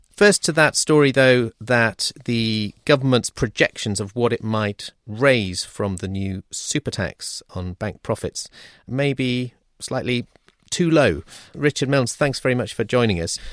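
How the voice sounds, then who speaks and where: In a British accent, a man talks at a fairly slow pace with lively intonation and a medium pitch. The sound is dry and close with no echo, on a very clean recording with a silent background. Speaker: podcast host, financial journalist. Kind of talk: hosted panel discussion. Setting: studio.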